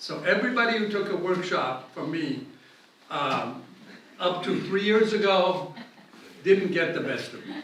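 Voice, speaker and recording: Speaking at a fairly slow pace with long, frequent pauses, a man uses a high pitch, lively intonation and big swings in loudness. Audible room echo and noticeable background noise fill the recording. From Italy, Rome. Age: 70s. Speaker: glass artist. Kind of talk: lecture.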